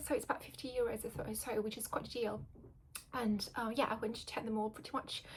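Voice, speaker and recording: Soft-spoken and monotone, a woman talks at a high pitch with flat intonation. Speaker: video blogger. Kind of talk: casual chat. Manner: halting.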